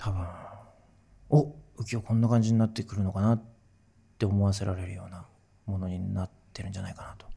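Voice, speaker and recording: In a fairly low, dark and mellow voice that is somewhat breathy, a man speaks at a very fast pace with fairly even intonation, big swings in loudness, and long, frequent pauses. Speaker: musician. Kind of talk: casual chat.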